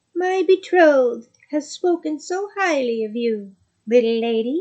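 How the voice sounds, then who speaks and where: Using a put-on character voice, a woman speaks with a high pitch at a fairly slow pace. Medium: read story. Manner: formal, courtly.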